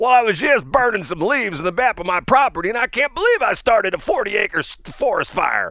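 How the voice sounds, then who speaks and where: A man's put-on character voice at an extremely high pitch, with lively intonation, a fairly quick pace, hardly any pauses, and a dry, close sound with no echo. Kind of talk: casual, folksy.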